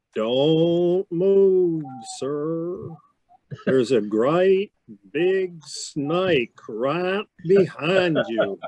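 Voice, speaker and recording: A man does a put-on character voice with a Texas accent, pitched high and delivered at a very slow pace. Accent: Texas drawl. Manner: slow, deliberate, calm.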